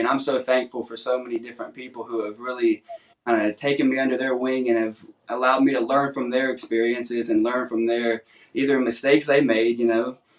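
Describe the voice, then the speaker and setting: A man talks at a fairly quick pace. He has a Southern US accent. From Nashville, Tennessee. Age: 20s. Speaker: songwriter contestant. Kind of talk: interview.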